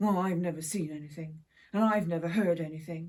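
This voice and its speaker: A woman's put-on character voice, fairly low in pitch, fairly quick, with fairly even intonation. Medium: read story. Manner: muttering under breath.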